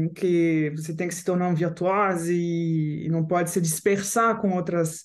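A woman with a French accent speaks at a fairly slow pace in a fairly low voice, with audible echo in the room. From France (Paris). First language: French (speaking Portuguese). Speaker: composer and guitarist. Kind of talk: interview.

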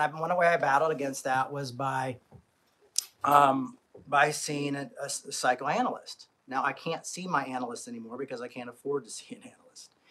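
A man speaks at a medium pitch and a fairly quick pace, his tone bright and sharp, with ordinary pitch variation.

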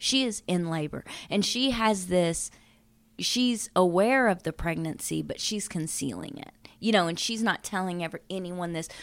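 On a very clean recording with a silent background, a woman with an ordinary speaking voice talks fairly slowly at a medium pitch, her intonation lively. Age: 40s. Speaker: true crime podcast co-host. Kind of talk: casual chat with storytelling.

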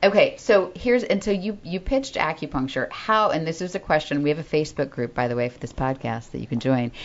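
A woman with a very deep, low pitch rushes along at a very fast pace, making very wide pitch swings with hardly any pauses. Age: 40s. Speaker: podcast co-host. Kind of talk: casual chat. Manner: fast talker.

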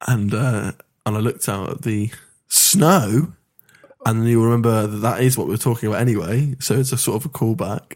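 Speaking fairly quickly, a man with an English accent uses a medium pitch and ordinary pitch variation. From England. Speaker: podcast host. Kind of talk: casual banter, comedic interview games.

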